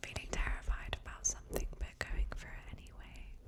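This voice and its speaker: Whispering in a British accent, a woman can be heard over noticeable background noise. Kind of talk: ASMR personal attention chat. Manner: soft-spoken.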